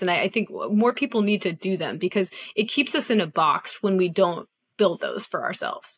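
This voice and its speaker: An ordinary speaking voice with ordinary pitch variation comes through with a dry, close sound and no echo. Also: woman. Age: 40s. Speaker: podcast host. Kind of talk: interview.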